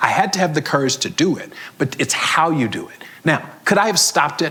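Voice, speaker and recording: Speaking at a fairly quick pace, a man with an American accent comes through over noticeable background noise. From US South, Florida (Fort Lauderdale). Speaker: HR executive and CEO, conference speaker. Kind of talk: conference Q&A talk. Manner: animated.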